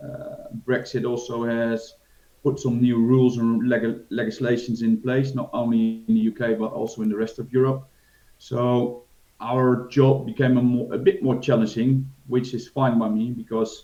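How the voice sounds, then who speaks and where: Speaking in a Dutch accent, a man keeps a medium pitch and a moderate pace with monotone, flat intonation. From Netherlands. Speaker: financial advisor. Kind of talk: interview. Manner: hesitant, many fillers.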